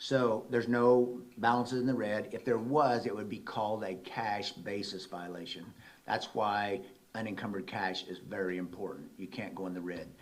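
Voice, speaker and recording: There is audible room echo in this recording. The speaker is a man with a fairly low pitch. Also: ordinary pitch variation, moderate pace. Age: 60s. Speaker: auditor. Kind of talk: presentation at a council meeting.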